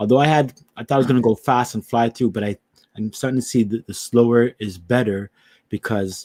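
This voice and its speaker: The voice has a dark, mellow tone and fairly even intonation at a fairly quick pace. The sound is dry and close, with no echo. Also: man, medium pitch for a man. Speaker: Bible teacher. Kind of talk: religious teaching.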